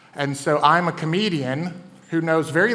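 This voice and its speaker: With audible room echo and noticeable background noise, a man with a Southern US accent speaks at a high pitch and a moderate pace, his intonation fairly even. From US South. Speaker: comedian and event host. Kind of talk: stand-up hosting. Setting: stage with audience.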